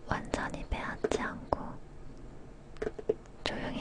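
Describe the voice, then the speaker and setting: A woman whispers very slowly while noticeable noise carries on around her. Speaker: ASMR creator. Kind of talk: whispered book reading (ASMR). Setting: studio, recorded from a live broadcast. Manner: whispered, soft.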